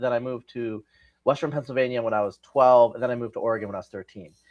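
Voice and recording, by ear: A man talks very fast at a medium pitch, his intonation fairly even. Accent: West Coast American.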